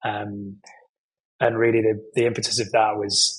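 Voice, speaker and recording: A man speaks in a British accent at a fairly low pitch. His voice is somewhat breathy, with monotone, flat intonation. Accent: British accent, remarked by himself. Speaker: nonprofit executive in hospitality training. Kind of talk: podcast interview. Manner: conversational with frequent fillers and self-corrections.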